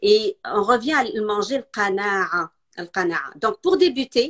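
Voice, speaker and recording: A woman's fairly high voice with ordinary pitch variation, dry and close with no echo. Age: 50s. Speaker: nutrition specialist. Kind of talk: casual interview chat. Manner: halting.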